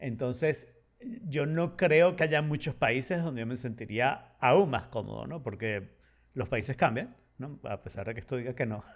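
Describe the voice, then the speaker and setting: Here is a man with a plain, everyday voice at a medium pitch. He talks at a fairly slow pace. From Venezuela, partly raised in Spain. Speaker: podcast co-host. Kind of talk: casual chat.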